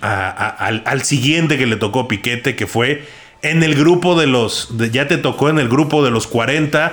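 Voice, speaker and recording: Fairly slow, fairly high-pitched speech from a man, with ordinary pitch variation. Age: 30s. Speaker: podcast producer. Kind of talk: casual chat. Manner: halting.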